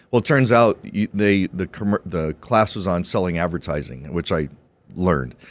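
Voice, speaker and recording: Heard in a very clean recording with a silent background and a dry, close sound with no echo, a man with an American accent and a very deep, low pitch speaks at a moderate pace with lively intonation and vocal fry. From Arizona, US. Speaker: entrepreneur and broadcaster. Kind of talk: podcast interview. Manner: casual, halting with fillers.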